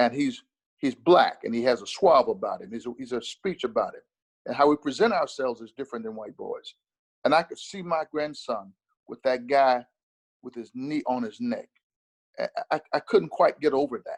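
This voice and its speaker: Pausing long and often, a man talks at a moderate pace with big swings in loudness, in a dry, close recording with no echo. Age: 60s. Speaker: minister. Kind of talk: interview. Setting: video call.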